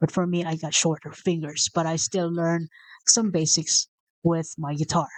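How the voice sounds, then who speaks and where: A woman speaks at a moderate pace and fairly low pitch in a Visayan Filipino accent, her intonation monotone and flat. The sound is dry and close with no echo, over a quiet background. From Philippines (Visayas). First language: Bisaya (Cebuano). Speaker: motivational video host. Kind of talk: casual motivational talk. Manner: unscripted, with self-corrections.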